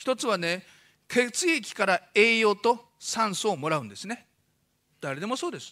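Projecting a raised voice, a man speaks in a high pitch with a bright, sharp tone, very wide pitch swings and big swings in loudness. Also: quiet background. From Fukushima, Japan. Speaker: doctor giving a public lecture. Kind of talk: lecture. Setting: stage with audience. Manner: fast talker. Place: hall. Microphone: podium.

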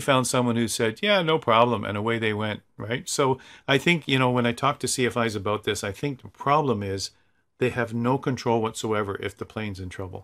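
A man with a Canadian accent at a moderate pace, over a quiet background. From Canada, Toronto. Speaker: flight simulator instructor. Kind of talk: tutorial. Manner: casual, enthusiastic.

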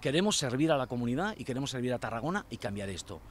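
Over light background noise, a man at medium pitch talks very fast with lively intonation, the sound dry with no echo. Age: 50s. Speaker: local election candidate; election candidate. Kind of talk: campaign interview. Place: waterside. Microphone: handheld.

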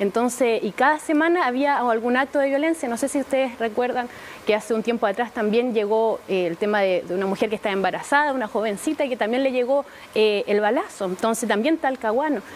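Over light background noise, a woman talks at a very fast pace with a Chilean accent. Her pitch is high, with ordinary variation. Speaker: city councillor. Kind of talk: TV interview. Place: studio. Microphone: lapel.

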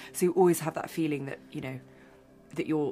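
A woman with a British accent speaks over faint music in the background. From England. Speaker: film director. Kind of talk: interview answer.

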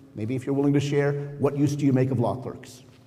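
Faint music plays behind a man whose voice sits at a fairly high pitch. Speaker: judge. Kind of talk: onstage interview. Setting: stage with audience. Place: hall.

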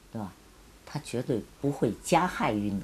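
Light background noise sits behind a woman whose somewhat breathy voice has a dark, mellow tone. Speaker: former student sent to countryside, witness; witness. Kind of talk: interview testimony.

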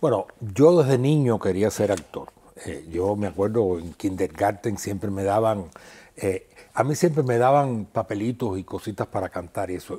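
With a dark, mellow tone and a fairly low pitch, a man talks with ordinary pitch variation. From Cuba, rural Havana province. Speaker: actor and theatre festival director; guest actor. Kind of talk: interview. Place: studio. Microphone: lapel.

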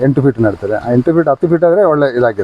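Noticeable background noise accompanies a man talking at a fairly high pitch. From Dakshina Kannada, coastal Karnataka (family from Kerala). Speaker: farmer. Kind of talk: interview.

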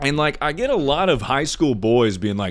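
A man's booming voice at medium pitch and moderate pace, with big pitch swings

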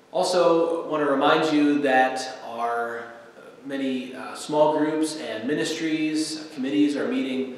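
Strong room echo surrounds speech delivered at a fairly slow pace. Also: man. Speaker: pastor. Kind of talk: church announcements and scripture reading. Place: church. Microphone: podium.

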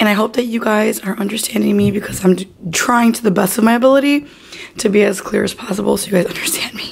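A woman speaks at a medium pitch, her voice strained, with ordinary pitch variation. Noticeable background noise sits behind her. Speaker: lifestyle vlogger. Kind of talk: casual vlog. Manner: strained, effortful.

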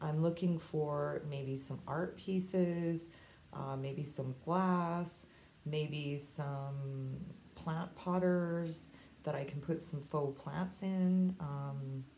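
A woman's very deep, low voice, dark and mellow and somewhat breathy, with fairly even intonation at a very slow pace over light background noise. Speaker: vintage seller vlogger. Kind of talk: casual vlog chat. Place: home room. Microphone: phone near.

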